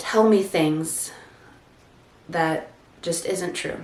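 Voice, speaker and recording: A woman speaks at a very slow pace in a fairly low voice. Noticeable background noise and audible room echo are present. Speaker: content creator. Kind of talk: personal testimony vlog.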